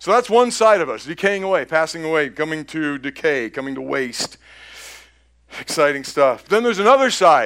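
Very wide pitch swings at a moderate pace. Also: man, fairly high pitch for a man. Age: 60s. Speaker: pastor. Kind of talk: sermon.

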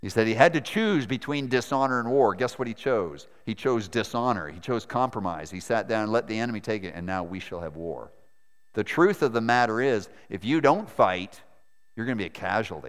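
A man with an American accent speaks in a plain, everyday voice at a medium pitch, his intonation lively, on a very clean recording with a silent background. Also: fairly quick pace. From Maine, US. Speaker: missionary preacher. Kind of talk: sermon. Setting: church.

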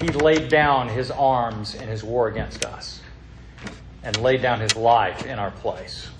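A man's voice sits at a medium pitch, showing ordinary pitch variation, with noticeable background noise behind it. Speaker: pastor. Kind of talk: sermon. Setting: church.

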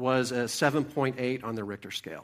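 This medium-pitched man is recorded very cleanly against a silent background. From Oklahoma. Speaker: lay preacher. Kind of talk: sermon. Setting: church. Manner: halting.

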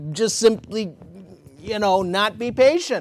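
A man speaks loudly at a fairly slow pace. The recording is very clean, with a silent background. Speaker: pastor. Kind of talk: sermon. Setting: church.

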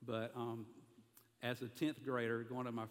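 At a moderate pace, a man talks in a medium pitch with a Southern US accent. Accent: Southern American. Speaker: pastor. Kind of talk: sermon.

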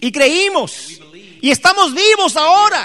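Raised and projected, a man's voice sits at an extremely high pitch with a bright, sharp tone. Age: 50s. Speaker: pastor. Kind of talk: sermon. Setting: church.

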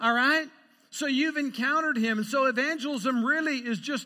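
A man with an American accent uses a raised, projected voice at an extremely high pitch, bright and sharp in tone. He keeps a moderate pace with ordinary pitch variation on a very clean recording with a silent background. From Idaho, US Northwest. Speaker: pastor. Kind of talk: sermon. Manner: animated.

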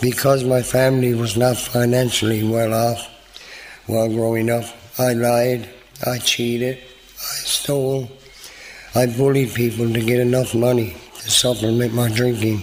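A man with a Newfoundland accent speaks at a medium pitch and moderate pace in a monotone, flat intonation, with long, frequent pauses, noticeable background noise and audible room echo. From Newfoundland, Canada (St. John's). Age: 50s. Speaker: recovery program graduate. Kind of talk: testimony.

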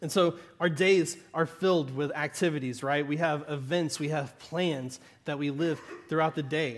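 With a Southern Arkansas accent, a man speaks at a moderate pace, his fairly high pitch held in fairly even intonation. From US South, southern Arkansas. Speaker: pastor. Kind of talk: sermon. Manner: conversational, with frequent laughs.

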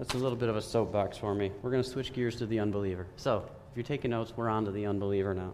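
A man talks very fast at a fairly low pitch. Room echo can be heard. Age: 30s. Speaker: lay preacher. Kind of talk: sermon. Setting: church. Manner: animated.

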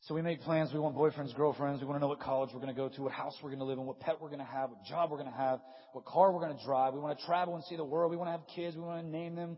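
Over noticeable background noise, a man talks at a very fast pace with an animated tone, hardly any pauses and big swings in loudness. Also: fairly high pitch for a man. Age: 30s. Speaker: pastor. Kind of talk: sermon. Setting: stage with audience.

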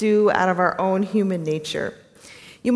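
In this clip, the reading aloud is done in a natural voice.

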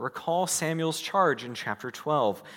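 With a General American accent, a man speaks at a fairly slow pace and a fairly high pitch. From US. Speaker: preacher. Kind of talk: sermon. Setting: church.

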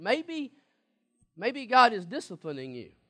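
A man talks in a raised, projected voice at a high pitch. The background is quiet. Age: 40s. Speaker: pastor. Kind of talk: sermon.

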